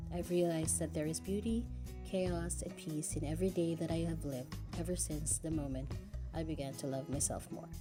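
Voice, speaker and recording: A woman speaks at a moderate pace. Background music plays under her words. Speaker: voice actor. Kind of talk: personal narrated life story for an audio-visual presentation. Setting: home recording. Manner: earnest, heartfelt.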